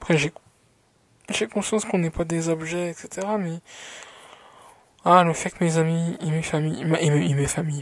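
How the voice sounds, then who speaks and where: With fairly even intonation, a woman talks at a fairly low pitch. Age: 20s. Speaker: vlogger. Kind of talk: personal vlog monologue. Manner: hesitant, many fillers.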